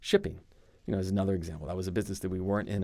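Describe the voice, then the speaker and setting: A man with a very deep, low pitch speaks in an American accent, recorded very cleanly against a silent background. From Arizona, US. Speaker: finance firm CEO. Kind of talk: casual interview chat.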